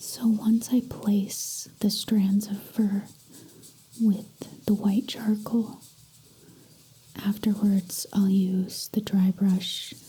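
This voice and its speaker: The voice is soft-spoken, very slow, and monotone, with flat intonation. Its loudness is very even, broken by long, frequent pauses. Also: woman, medium pitch for a woman. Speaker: artist. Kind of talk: soft-spoken ASMR drawing tutorial.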